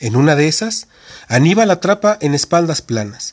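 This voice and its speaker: Recorded with a dry, close sound and no echo, a man speaks at a moderate pace in a fairly high voice with very wide pitch swings. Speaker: podcast host reading a wrestling narrative. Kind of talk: reading aloud a wrestling match account, narrated play-by-play as if live commentary. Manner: animated, brisk blow-by-blow delivery that builds tension with short punchy phrases.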